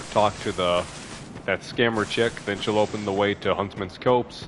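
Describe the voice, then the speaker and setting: A man speaks at a fairly slow pace. Noticeable background noise runs under him. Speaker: gaming streamer. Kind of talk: gameplay commentary.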